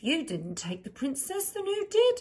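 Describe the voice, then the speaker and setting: The squeaky, put-on character voice moves along at a moderate pace. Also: woman, extremely high pitch for a woman. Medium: read story. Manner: nervous.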